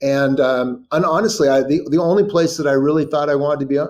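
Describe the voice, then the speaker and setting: Speaking at a fairly quick pace, a man with a Californian accent uses a fairly high pitch for a man and ordinary pitch variation. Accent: General American (Californian). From California, Sacramento. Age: 60s. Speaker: writer and journalist. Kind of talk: interview. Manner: halting, many fillers and repetitions.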